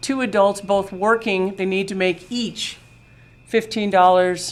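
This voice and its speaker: Her intonation stays fairly level as she talks. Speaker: presenter to town board. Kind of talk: presentation. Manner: loud.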